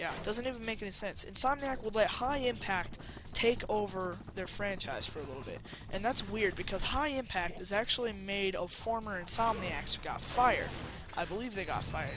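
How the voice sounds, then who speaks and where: Music in the background and a fairly quick pace. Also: man. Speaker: video game let's player. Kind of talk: gameplay commentary. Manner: casual, hesitant with many fillers.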